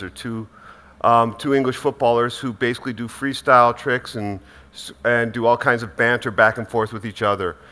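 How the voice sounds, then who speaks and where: A man with a medium-pitched, bright and sharp voice, an American accent and a fairly quick pace. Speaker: sports media executive. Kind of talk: panel discussion. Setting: stage with audience.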